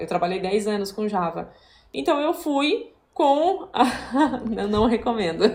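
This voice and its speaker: A woman speaks in an unremarkable speaking voice. Her pitch is fairly high and her pace moderate. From southern Brazil. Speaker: software developer. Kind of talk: casual interview.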